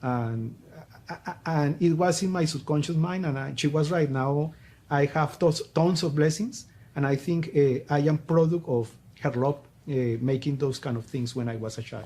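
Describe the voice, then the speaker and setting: With a Colombian accent, the speaker has a dark, mellow, somewhat breathy tone and a moderate pace. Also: man, fairly high pitch for a man, ordinary pitch variation. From Colombia, Popayán. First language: Spanish. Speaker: business coach. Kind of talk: interview. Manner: halting.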